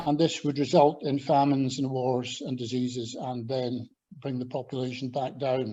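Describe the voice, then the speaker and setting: Showing a slight Scottish accent, a man speaks at a moderate pace with a dark, mellow tone and monotone, flat intonation. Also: medium pitch for a man. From Scotland. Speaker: agricultural scientist and former lecturer. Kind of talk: invited talk with slides. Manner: hesitant, with fillers.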